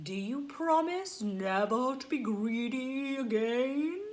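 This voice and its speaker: A female-sounding voice in a put-on character voice speaks at a high pitch, with audible echo. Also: fairly slow pace. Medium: read story. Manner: loud, laughing.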